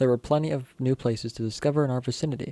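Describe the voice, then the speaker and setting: The man has a dark, mellow tone at a medium pitch. He speaks at a very fast pace with ordinary pitch variation. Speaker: youtuber reading horror stories. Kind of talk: reading aloud with commentary. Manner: casual, swears; halting, stumbles over words.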